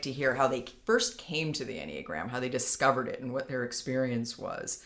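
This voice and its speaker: Noticeable background noise and audible room echo surround a voice with a General American accent. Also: woman. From US, San Francisco. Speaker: psychotherapist and enneagram teacher. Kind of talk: podcast conversation.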